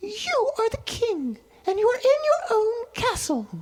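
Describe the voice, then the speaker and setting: A man puts on a squeaky character voice at an extremely high pitch, speaking at a fairly slow pace. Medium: stage play. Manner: calm, gentle.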